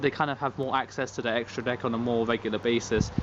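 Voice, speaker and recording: A man with a British accent. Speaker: card game youtuber. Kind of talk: casual vlog commentary. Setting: outdoors. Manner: monotone.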